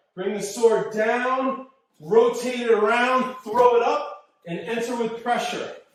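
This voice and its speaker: Audible room echo surrounds a man whose extremely high voice holds fairly even intonation. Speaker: martial arts instructor. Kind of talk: live class instruction. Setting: dojo, live stream.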